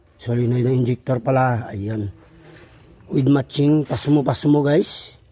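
This man has a medium pitch and a somewhat breathy voice. He speaks at a fairly slow pace with ordinary pitch variation. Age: old. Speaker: diesel mechanic. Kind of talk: tutorial. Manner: casual.

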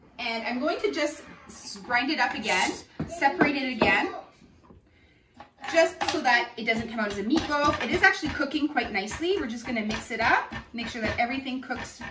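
A woman's fairly high, bright, sharp voice with lively intonation and a fairly quick pace, plus audible room echo.

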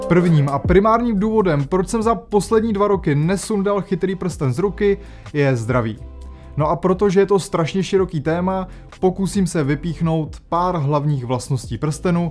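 A man speaks at a moderate pace. Faint music can be heard in the background. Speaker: tech reviewer. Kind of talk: scripted tech explainer to camera. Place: home room.

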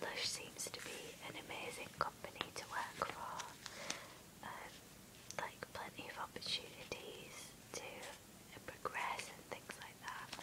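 Someone whispers at a fairly slow pace, with long, frequent pauses. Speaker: ASMR creator. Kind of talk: ASMR magazine flip-through with chatty commentary. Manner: whispered; soft-spoken. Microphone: phone near.

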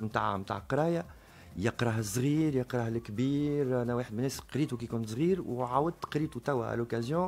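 His pitch moves in an ordinary way. The voice is a man's. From Tunisia. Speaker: book publisher; radio guest. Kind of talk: radio interview. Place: studio. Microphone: studio mic.

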